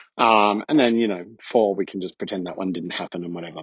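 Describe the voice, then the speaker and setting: A man with an Australian accent speaks at a fairly low pitch with ordinary pitch variation. The sound is dry and close with no echo. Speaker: listener. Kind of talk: recorded voice message. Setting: listener audio clip.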